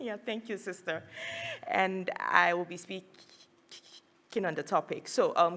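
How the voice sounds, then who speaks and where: A woman speaks very slowly, with noticeable background noise throughout. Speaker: public health program officer. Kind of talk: conference presentation. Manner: halting.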